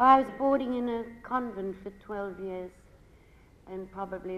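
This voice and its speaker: Lively intonation marks this woman's speech, heard with audible room echo. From Australia, Melbourne. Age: 70s. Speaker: actress. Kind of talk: on-stage interview.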